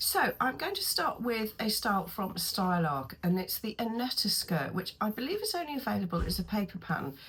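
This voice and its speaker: A woman with a British accent at a medium pitch, her voice making very wide pitch swings at a moderate pace. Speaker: sewing pattern reviewer. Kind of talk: casual tutorial review. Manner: hesitant, many ums.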